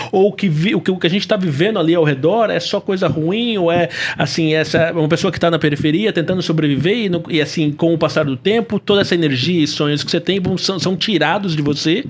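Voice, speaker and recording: A man's high-pitched voice at a very fast pace with hardly any pauses, very even loudness and ordinary pitch variation, amid noticeable background noise. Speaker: podcast host. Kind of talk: podcast interview.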